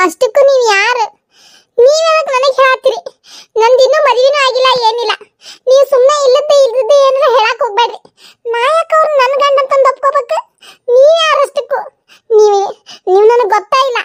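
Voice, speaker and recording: A woman's cartoonish character voice, extremely high in pitch, at a moderate pace, with a dry, close sound and no echo. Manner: defensive, polite with elders.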